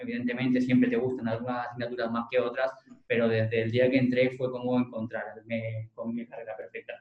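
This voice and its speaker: The man's delivery is very fast. His intonation stays monotone and flat. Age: 20s. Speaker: lawyer. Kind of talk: interview.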